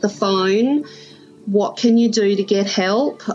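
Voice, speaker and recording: A woman speaks at a very slow pace in a strong Australian accent, her pitch medium. Music plays in the background. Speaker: stroke survivor guest. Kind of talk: casual interview, personal storytelling. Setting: video call, her backyard.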